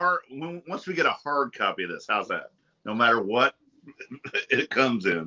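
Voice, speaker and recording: A man with vocal fry speaks at a fairly high pitch and a moderate pace. His pitch swings very widely, and he takes long, frequent pauses. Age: 50s. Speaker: panelist. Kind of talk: casual chat.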